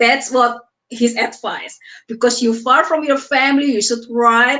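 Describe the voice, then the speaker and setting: Speaking in an Indonesian accent, a woman has a high pitch, a bright, sharp tone, and ordinary pitch variation. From Indonesia (Surabaya). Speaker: author. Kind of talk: interview. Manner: halting.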